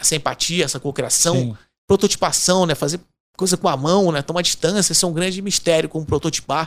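In a Carioca accent, a man speaks at a fairly quick pace in a high pitch with ordinary pitch variation. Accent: Carioca (Rio). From Rio de Janeiro, Brazil. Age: 50s. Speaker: innovation consultant. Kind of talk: casual interview chat. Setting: studio.

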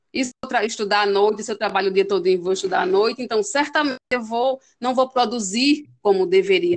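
This woman has a plain, everyday voice pitched fairly high. She speaks at a fairly quick pace with ordinary pitch variation. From Northeast Brazil, Pernambuco. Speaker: teacher. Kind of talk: interview.

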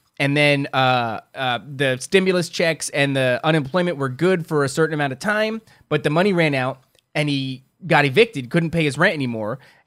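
In a very clean recording with a silent background, a man with an American accent and a fairly high voice speaks in an animated tone at a moderate pace with ordinary pitch variation. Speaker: podcast co-host. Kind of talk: casual banter comedy chat. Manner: animated, joking, profane.

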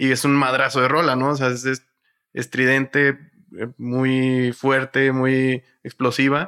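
Bright and sharp in tone, a man's medium-pitched voice stays monotone and flat. He speaks at a very slow pace. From northern Mexico, Matamoros, Tamaulipas. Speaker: podcast co-host. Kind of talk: casual chat.

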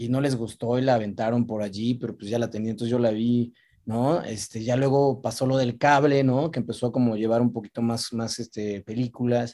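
A man with a dark, mellow tone talks at a fairly quick pace and medium pitch, his intonation monotone and flat, with hardly any pauses. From central Mexico, Toluca and Metepec. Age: 40s. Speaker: film actor. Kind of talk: casual interview chat. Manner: halting, with frequent repetitions and fillers.

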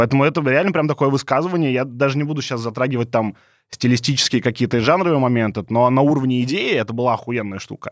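Speaking at a very fast pace, the man keeps a medium pitch with ordinary pitch variation. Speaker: podcast host. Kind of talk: casual banter.

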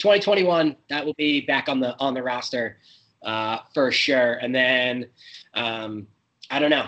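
Speaking at a very slow pace, a man uses a medium pitch with ordinary pitch variation and a bright, sharp tone. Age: 30s. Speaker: guest. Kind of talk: interview.

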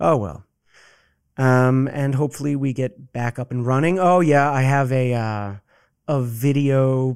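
In a very clean recording with a silent background, a man with an American accent speaks at medium pitch with ordinary pitch variation. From Boston area, US. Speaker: actor and theater maker. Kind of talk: casual chat. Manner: articulate; animated.

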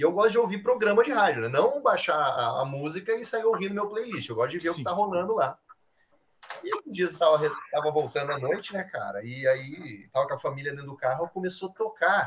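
A man talks at a fairly quick pace, his high voice swinging very widely in pitch. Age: 30s. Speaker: airsoft player and photographer. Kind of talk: casual chat.

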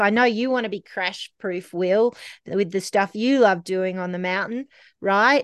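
In an Australian accent, a woman speaks at a fairly slow pace with medium pitch and ordinary pitch variation, the sound dry and close with no echo over a quiet background. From Australia, Canberra. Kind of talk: casual interview. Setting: remote call.

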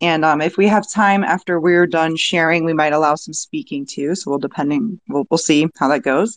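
A woman with an unremarkable speaking voice talks at a moderate pace in a fairly low pitch with ordinary pitch variation and hardly any pauses, recorded with a dry, close sound, no echo and a quiet background. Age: 30s. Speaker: podcast host. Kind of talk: casual discussion. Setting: online audio room.

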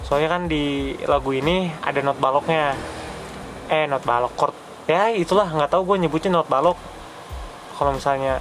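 Fairly high for a man, his voice keeps a very even loudness across long, frequent pauses amid noticeable background noise. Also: ordinary pitch variation, moderate pace. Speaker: solo podcaster. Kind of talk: casual monologue. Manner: halting, many fillers. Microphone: poor audio quality, noisy.

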